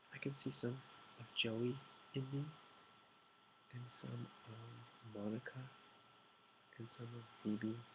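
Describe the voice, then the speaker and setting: A man whispers, soft-spoken and somewhat breathy. He goes at a very slow pace with long, frequent pauses. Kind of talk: ASMR soft-spoken talk to camera, tea meditation. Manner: soft-spoken, whispered, relaxed.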